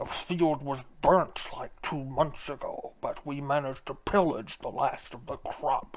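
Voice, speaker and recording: A man's put-on character voice, fairly high-pitched, at a fairly slow pace with ordinary pitch variation. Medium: actual play. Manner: salesman patter.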